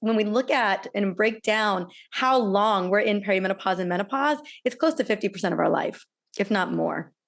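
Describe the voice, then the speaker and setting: Here a woman has a normal speaking voice at a medium pitch, with ordinary pitch variation. Her loudness stays very even against a quiet background. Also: moderate pace. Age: 40s. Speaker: podcast host, doctor. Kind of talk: interview.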